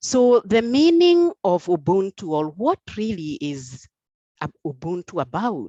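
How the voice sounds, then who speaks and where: A woman's very slow, dark and mellow voice with lively intonation, dry and close with no echo against a quiet background. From Kenya. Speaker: conference speaker. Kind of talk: conference talk. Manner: hesitant, many fillers.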